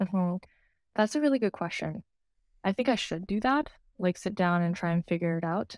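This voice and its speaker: Speaking at a fairly quick pace with lively intonation, a woman at medium pitch leaves long, frequent pauses. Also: dry, close sound with no echo. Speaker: therapist. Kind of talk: casual interview chat.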